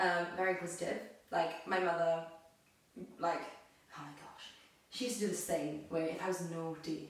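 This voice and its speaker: A woman at a fairly low pitch and moderate pace, with fairly even intonation, big swings in loudness, and long, frequent pauses, amid noticeable background noise and audible room echo. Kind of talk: casual chat, personal testimony.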